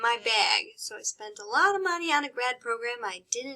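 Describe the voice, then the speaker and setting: A woman with a Chicago accent speaks in a raised, projected voice with a bright, sharp tone. Her pitch is high and swings very widely. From US Midwest, Chicago. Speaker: college psychology instructor. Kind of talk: recorded course introduction lecture. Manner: casual, conversational with fillers.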